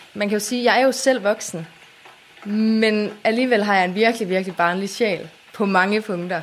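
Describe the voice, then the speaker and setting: Here a woman talks at a moderate pace. Noticeable background noise is present. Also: medium pitch for a woman, fairly even intonation. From Denmark, Aarhus area (Lystrup). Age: 20s. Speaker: YouTuber. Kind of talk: casual interview.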